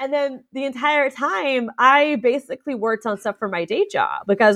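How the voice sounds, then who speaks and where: Using very wide pitch swings, a woman talks with an American accent. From Orlando, Florida. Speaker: state legislator. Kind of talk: interview.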